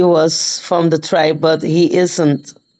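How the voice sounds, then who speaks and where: With a non-native accent, a woman speaks at a very slow pace. Her tone is dark and mellow. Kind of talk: casual live-stream chat. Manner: halting, hesitant.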